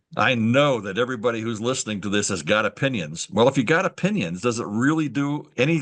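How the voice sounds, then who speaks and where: Over a quiet background, a man with an American accent and vocal fry speaks with very wide pitch swings. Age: 70s. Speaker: veteran writing instructor. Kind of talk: webinar presentation. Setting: video call. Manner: halting.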